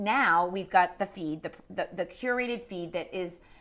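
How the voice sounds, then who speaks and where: A woman with a Boston accent speaks slowly in a medium pitch, with ordinary pitch variation. Her tone is animated. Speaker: social media marketing expert. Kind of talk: interview.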